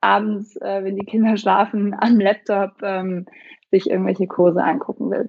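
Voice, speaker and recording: A woman talks at a moderate pace with fairly even intonation. It is an unremarkable speaking voice. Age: 30s. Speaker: startup founder, parenting coach. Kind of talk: interview.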